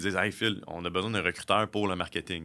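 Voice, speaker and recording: A man with a fairly low pitch and a bright, sharp tone, at a fairly quick pace, on a very clean recording with a silent background. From Quebec (South Shore of Montreal). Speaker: recruiter and entrepreneur. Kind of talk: casual interview. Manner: halting, many fillers and repetitions.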